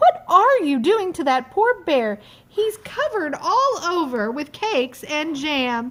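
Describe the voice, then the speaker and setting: A woman's put-on character voice, raised and projected, extremely high in pitch with very wide pitch swings, at a fairly slow pace. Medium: read story.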